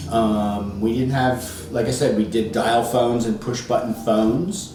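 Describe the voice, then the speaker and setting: Over noticeable background noise, a man speaks fairly slowly at a medium pitch with ordinary pitch variation and very even loudness. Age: 60s. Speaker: interviewee, parent of student. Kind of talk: casual interview. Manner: hesitant with many fillers.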